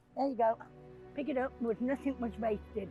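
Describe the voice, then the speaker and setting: A woman speaks at a medium speed while music plays behind her. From England, Cheshire. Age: old. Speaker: Romany elder. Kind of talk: interview answer, personal testimony.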